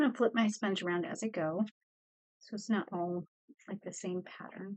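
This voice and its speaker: The woman has an ordinary speaking voice at a medium pitch, with ordinary pitch variation and a moderate pace. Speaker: art teacher. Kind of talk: tutorial.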